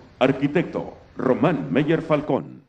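This clip features a man talking. The rise and fall of his pitch is ordinary. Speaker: event announcer. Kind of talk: ceremonial announcement. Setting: public event with audience. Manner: formal. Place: stage.

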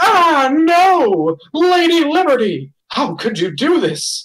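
In a put-on character voice, someone speaks at a high pitch and a very slow pace. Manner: theatrical, dramatic, indignant.

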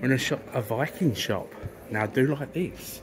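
Using a British accent, a man speaks at a medium pitch with ordinary pitch variation. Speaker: travel vlogger. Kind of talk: casual travel vlog narration. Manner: animated.

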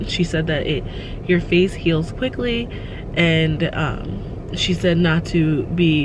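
A woman's fairly low voice, with a dry sound with no echo and noticeable background noise. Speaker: parent vlogger. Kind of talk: casual vlog chat. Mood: calm, relieved update. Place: car. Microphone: phone near.

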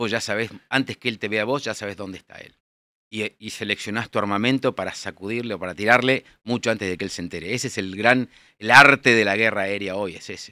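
A man's fairly low voice, bright and sharp in tone, at a very fast pace with fairly even intonation, dry with no echo, over a quiet background. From Buenos Aires, Argentina; Argentina. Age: 60s. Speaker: air force general; guest. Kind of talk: interview. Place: studio. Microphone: studio mic.

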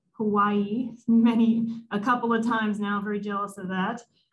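A woman speaks at a moderate pace, her voice somewhat breathy. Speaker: symposium host. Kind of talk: speaker introduction. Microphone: video call.

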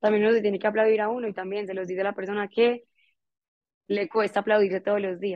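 Speaking at a very fast pace, a woman talks in a monotone, flat way at a medium pitch. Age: 20s. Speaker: entrepreneur; guest. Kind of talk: motivational talk. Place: home room. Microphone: earbuds.

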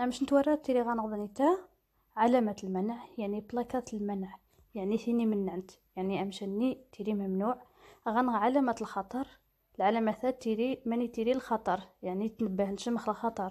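A woman with a fairly high pitch and a dark, mellow tone speaks at a moderate pace. Her intonation stays fairly even, and the recording is very clean with a silent background. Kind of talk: driving theory lesson.

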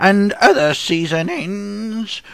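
A man puts on a cartoonish character voice, pitched high. He speaks at a very slow pace. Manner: eager, greedy.

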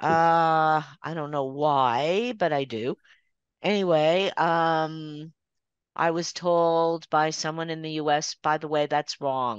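In a Canadian accent, a woman speaks with a very deep, low pitch and ordinary pitch variation, the sound dry with no echo and the background quiet. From Toronto, Canada. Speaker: watercolor artist. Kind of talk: casual presentation. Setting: video call. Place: home room. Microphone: video call.

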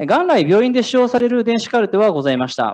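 A man's pitch swings very widely as he talks over a quiet background. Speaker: startup founder, former nurse and nursing teacher; nursing teacher. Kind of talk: startup pitch. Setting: stage with audience. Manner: formal. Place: hall.

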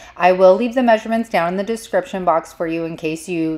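The woman's pitch varies in an ordinary way as she speaks. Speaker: DIY crafter and video creator. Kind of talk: tutorial. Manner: casual and chatty.

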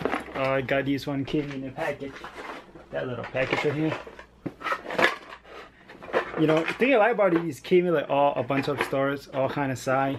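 Loud background noise behind a man with ordinary pitch variation and long, frequent pauses. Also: moderate pace. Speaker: vlogger. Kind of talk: casual vlog chat. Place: home room. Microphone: phone near.

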